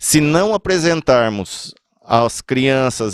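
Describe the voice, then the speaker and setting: A man with lively intonation in a dry, close sound with no echo. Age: 60s. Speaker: podcast host, spiritist speaker. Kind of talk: religious talk podcast. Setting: podcast.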